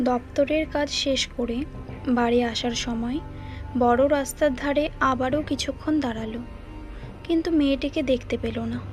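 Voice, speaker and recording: Music plays in the background as a woman speaks in a high pitch. Her intonation is fairly even. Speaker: voice-over narrator. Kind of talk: read story.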